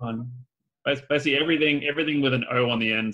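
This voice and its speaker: At a very fast pace, a man with an Australian accent speaks with a medium pitch and fairly even intonation. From Australia (Adelaide). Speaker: BIM specialist and video tutorial creator. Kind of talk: podcast interview. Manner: casual, many fillers and repeats.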